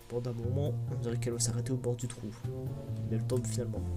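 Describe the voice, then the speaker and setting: Over music in the background, a soft-spoken man talks at a very fast pace with a medium pitch. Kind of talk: narration of game text, read aloud.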